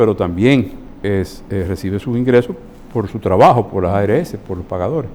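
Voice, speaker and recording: This man talks at a moderate pace, his pitch varying in an ordinary way. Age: 60s. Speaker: physician. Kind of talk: interview.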